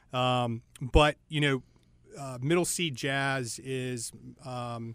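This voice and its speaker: Speaking in an American accent, a man holds a medium pitch with monotone, flat intonation. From Charlotte, North Carolina. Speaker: club owner and commercial real estate professional. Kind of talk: casual interview chat.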